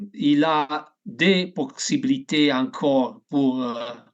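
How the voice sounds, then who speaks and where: In an Italian accent, a man speaks with lively intonation at a fairly high pitch. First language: Italian (speaking French). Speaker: canary breeding expert, association president. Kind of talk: videoconference presentation. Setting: video call. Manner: halting.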